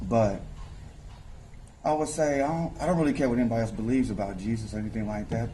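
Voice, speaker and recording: The voice moves at a fairly quick pace amid audible room echo and noticeable background noise. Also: man. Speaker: rapper and promoter. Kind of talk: interview. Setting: nightclub lounge.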